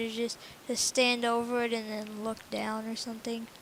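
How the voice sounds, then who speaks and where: Here a woman is talking. Her voice sits fairly high for a woman. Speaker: gaming youtuber. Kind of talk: tutorial. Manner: halting, self-correcting; casual.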